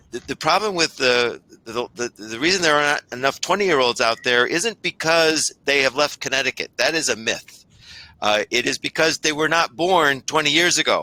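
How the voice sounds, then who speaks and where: This man has an unremarkable speaking voice with a fairly high pitch, ordinary pitch variation and a moderate pace, captured dry and close with no echo on a very clean recording with a silent background. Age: 60s. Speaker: state labor economist. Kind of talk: panel Q&A answer.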